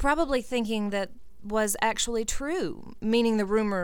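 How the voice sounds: The pitch shows ordinary variation. A natural reading voice carries it.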